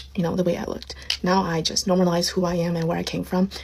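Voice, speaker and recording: A woman with a non-native accent speaks at medium pitch. Noticeable background noise can be heard. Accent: non-native English, self-noted. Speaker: social media creator. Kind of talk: casual monologue.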